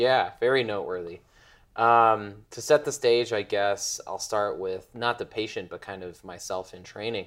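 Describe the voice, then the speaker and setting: An unremarkable speaking voice from a man with an American accent, medium in pitch with ordinary pitch variation, a moderate pace, and big swings in loudness, on a very clean recording with a silent background. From Chicago, US. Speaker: medical fellow. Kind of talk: interview storytelling.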